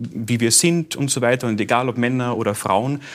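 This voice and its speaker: With a Carinthian accent, a man speaks at a moderate pace and medium pitch, in a very clean recording with a silent background. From Carinthia, Austria. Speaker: radio host and author. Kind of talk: talk show conversation.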